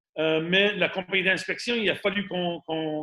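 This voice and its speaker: A man with an Acadian accent speaks at a high pitch, with ordinary pitch variation. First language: English (speaking French). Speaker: radon mitigation and home inspection business owner. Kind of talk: webinar presentation. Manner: halting, many fillers and repetitions.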